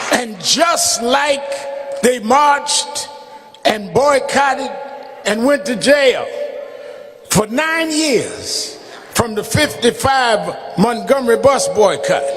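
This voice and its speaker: A man with an extremely high pitch speaks at a very slow pace with long, frequent pauses. His pitch variation is ordinary, and noticeable background noise can be heard. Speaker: minister delivering a funeral eulogy. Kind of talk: funeral eulogy, preaching delivery. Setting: speaking to a congregation at a funeral service.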